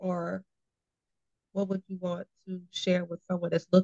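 A woman with a medium pitch and an American accent talks at a fairly quick pace. Her voice is somewhat breathy, and the sound is dry and close with no echo. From Austin, Texas. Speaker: podcast host. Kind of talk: interview, casual chat. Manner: animated.

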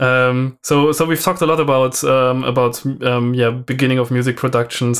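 On a very clean recording with a silent background, a man with a German accent speaks at a moderate pace and medium pitch with fairly even intonation. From southern Germany. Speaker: drum and bass podcast co-host and music producer. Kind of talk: casual chat. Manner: halting, many fillers.

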